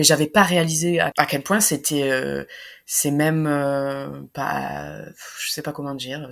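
A woman's very deep, low voice at a very slow pace, with ordinary pitch variation, on a very clean recording with a silent background. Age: 30s. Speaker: nurse and doula. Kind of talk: personal testimony interview. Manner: hesitant, many fillers.

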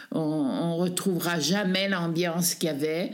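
A woman's fairly low voice with audible room echo. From Savoie, French Alps (Tignes). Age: 80s+. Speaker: displaced villager, retiree. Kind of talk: testimony. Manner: halting.

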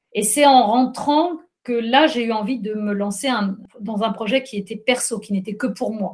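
A woman talks fairly slowly in a fairly high, somewhat breathy voice with ordinary pitch variation. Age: 50s. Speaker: journalist and trail runner. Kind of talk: interview. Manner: hesitant, many fillers.

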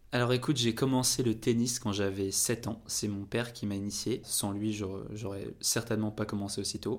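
Here a man talks at a moderate pace with hardly any pauses. His fairly low voice stays monotone and flat. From France. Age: 20s. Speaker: content creator and former college tennis player. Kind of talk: interview. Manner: casual with frequent fillers.

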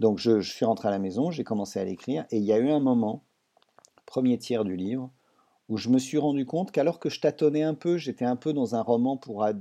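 Over a quiet background, a man talks at a fairly quick pace with lively intonation. He has an unremarkable speaking voice at medium pitch. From France. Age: 60s. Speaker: writer and doctor. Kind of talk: interview.

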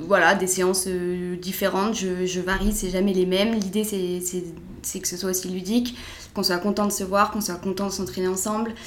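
Moderately paced, medium-pitched speech from a woman, monotone and flat, with noticeable background noise and audible room echo. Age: 20s. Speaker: sports coach. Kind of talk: interview. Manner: hesitant.

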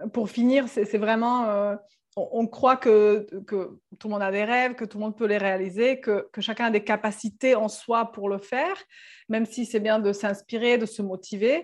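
A woman with a Serbian accent speaks fairly slowly at a fairly high pitch, with fairly even intonation and a quiet background. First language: Serbian (speaking French). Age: 30s. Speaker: sailor and travelling mother. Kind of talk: casual interview chat.

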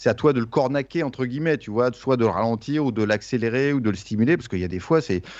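Over a quiet background, a man at a medium pitch rattles along at a very fast pace with hardly any pauses and ordinary pitch variation. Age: 50s. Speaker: music interviewer and podcaster. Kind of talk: casual chat.

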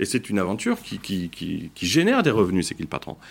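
The recording is very clean against a silent background. A man talks fairly quickly, his pitch swinging very widely, with vocal fry. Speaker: founder of a consumer food brand. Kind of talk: debate interview.

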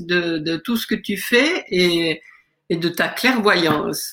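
A woman speaks at a very slow pace. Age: middle-aged. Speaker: aspiring coach, mother. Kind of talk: testimony. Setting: video call.

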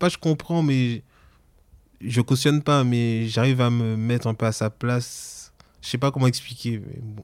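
A man at medium pitch with a slight Antillean accent, fairly even intonation, a fairly slow pace and long, frequent pauses, on a very clean recording with a silent background. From French Antilles. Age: 30s. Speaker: interviewee sharing personal story. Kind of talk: personal testimony.

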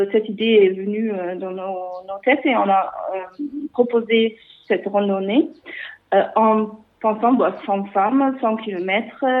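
The woman's pitch is fairly high. She talks at a very slow pace. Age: 40s. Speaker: cycling association founder. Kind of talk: interview. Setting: phone call. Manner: halting.

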